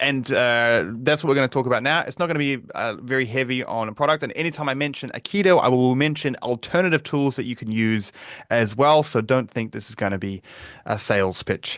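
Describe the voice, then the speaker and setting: Over a quiet background, a man talks fairly quickly at a medium pitch with ordinary pitch variation. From New Zealand. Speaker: security researcher and advocate. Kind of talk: webinar presentation. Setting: live online webinar.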